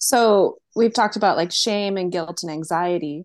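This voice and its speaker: With an unremarkable speaking voice, the speaker goes at a fairly slow pace with ordinary pitch variation against a quiet background. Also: woman. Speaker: podcast co-host.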